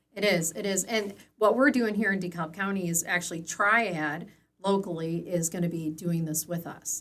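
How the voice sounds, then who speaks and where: Speaking at a moderate pace, a woman with an American accent uses a fairly low pitch and ordinary pitch variation. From northern Illinois, US. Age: 50s. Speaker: elder care agency director. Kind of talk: interview. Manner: hesitant, many fillers.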